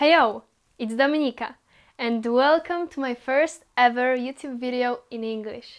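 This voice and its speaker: A woman with a Polish accent speaks at a fairly slow pace in a high pitch with ordinary pitch variation. Her loudness swings widely, on a very clean recording with a silent background. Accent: Polish accent, non-native English. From Poland. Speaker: YouTuber. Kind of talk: casual vlog Q&A. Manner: casual, with some hesitations.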